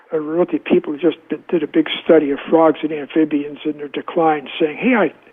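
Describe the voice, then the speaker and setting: Noticeable background noise sits behind a man who has a fairly high pitch and a moderate pace. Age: 80s+. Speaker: epidemiologist and author. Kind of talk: interview. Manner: halting, repeating words.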